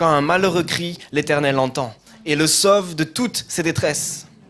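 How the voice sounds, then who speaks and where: Speaking fairly slowly with a slight southern French accent, a man uses a high pitch. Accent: slight southern French, sing-song. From southern France. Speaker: pastor. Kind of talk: scripture reading in a sermon. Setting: church.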